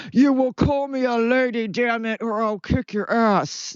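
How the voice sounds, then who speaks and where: This put-on character voice sits fairly high in pitch and moves at a moderate pace. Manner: aggressive, demanding.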